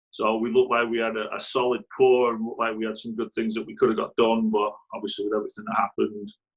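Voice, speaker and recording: A man with a Mancunian accent, talking at a very fast pace with hardly any pauses. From northern England, Greater Manchester (Radcliffe). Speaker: youth soccer coach. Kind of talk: interview. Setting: video call.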